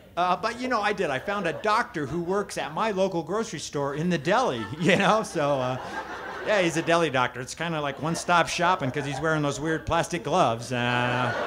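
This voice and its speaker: A man talks at a fairly quick pace. Noticeable background noise sits behind him. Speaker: stand-up comedian. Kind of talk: stand-up comedy routine. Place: stage.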